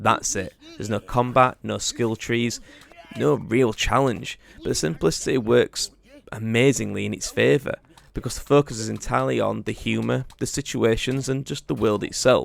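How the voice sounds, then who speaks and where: A man with a Yorkshire accent talks at a moderate pace. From Yorkshire, northern England. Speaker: gaming YouTuber. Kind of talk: game review. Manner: casual.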